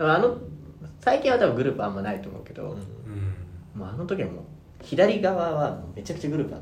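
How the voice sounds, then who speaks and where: A man speaks very fast in a fairly high voice, with very wide pitch swings, big swings in loudness and long, frequent pauses. Audible room echo and noticeable background noise fill the recording. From Tokyo, Japan. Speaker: podcast guest. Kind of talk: casual chat.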